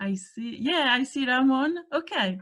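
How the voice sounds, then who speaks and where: Her pace is very slow. The woman speaks in an Italian accent. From Italy. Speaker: workshop speaker. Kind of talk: workshop presentation. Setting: video call. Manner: hesitant.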